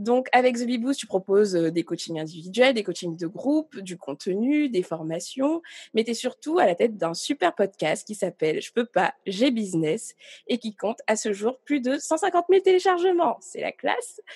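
A woman speaks at a fairly slow pace with a fairly high pitch and very wide pitch swings. The sound is dry and close with no echo, on a very clean recording with a silent background. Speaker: podcast host. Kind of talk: casual interview.

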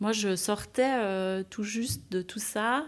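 Recorded very cleanly against a silent background, a woman speaks at a medium pitch in a plain, everyday voice with ordinary pitch variation. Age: 30s. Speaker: nurse. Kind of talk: testimony.

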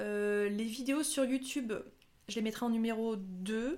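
A woman's fairly high voice with ordinary pitch variation, an ordinary speaking voice. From France, Haute-Savoie. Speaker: nurse turned content creator. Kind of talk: casual interview.

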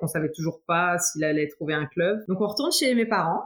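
With noticeable background noise present, a woman's medium-pitched voice shows ordinary pitch variation. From France, Troyes. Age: 30s. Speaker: footballer's wife, nurse. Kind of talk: interview testimony.

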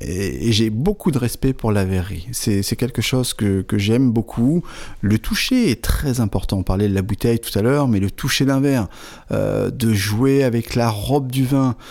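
A dark, mellow tone at a fairly slow pace, with very even loudness and ordinary pitch variation. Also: man, medium pitch for a man. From northern France, Aisne near Belgian border. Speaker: wine shop owner. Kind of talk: interview.

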